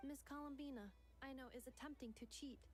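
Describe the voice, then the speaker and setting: A female-sounding, high-pitched put-on character voice at a fairly quick pace, over clear background noise. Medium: video game. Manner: formal, stiff.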